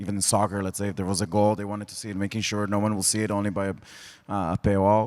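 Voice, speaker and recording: A man with an Israeli accent speaks at a fairly low pitch. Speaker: sports tech executive. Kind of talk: panel discussion. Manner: halting.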